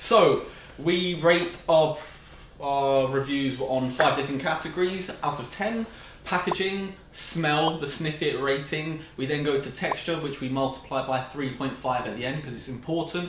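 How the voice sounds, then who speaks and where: A man in a British accent speaks at a fairly slow pace with a fairly high pitch and ordinary pitch variation. Noticeable background noise and audible room echo are present. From Britain. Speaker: food reviewer. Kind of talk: casual chat.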